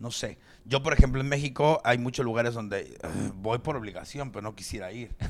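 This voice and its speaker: With a Mexican accent, this speaker talks at a fairly quick pace in an animated tone. Pitch varies in an ordinary way, while loudness swings widely. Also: man, medium pitch for a man. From Mexico. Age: 40s. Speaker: stand-up comedian. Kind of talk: casual chat.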